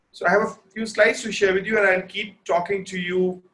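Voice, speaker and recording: A loud man's voice, high in pitch, with a bright, sharp tone. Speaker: fashion photographer and teacher. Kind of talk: webinar lecture.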